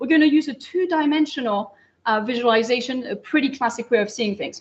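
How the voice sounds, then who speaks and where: In a French accent, a woman talks at a very fast pace. Her tone is energetic and enthusiastic. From France, Pyrenees. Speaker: astrophysicist lecturer. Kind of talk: public lecture. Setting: lecture hall with live audience. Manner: energetic, enthusiastic.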